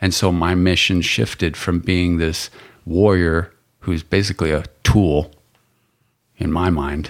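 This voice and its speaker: A man's very deep, low voice at a fairly slow pace, broken by long, frequent pauses. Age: 40s. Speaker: police officer and Marine veteran. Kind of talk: casual chat. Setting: studio.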